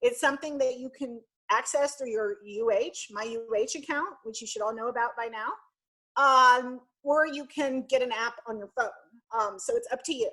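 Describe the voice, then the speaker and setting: At a moderate pace, a woman speaks in a raised, projected voice with a high pitch, a bright, sharp tone and ordinary pitch variation. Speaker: university student programs director. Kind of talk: orientation presentation.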